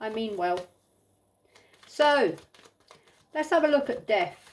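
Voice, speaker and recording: Loud and high-pitched, a woman speaks with lively intonation. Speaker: tarot reader. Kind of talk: tarot reading. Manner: animated.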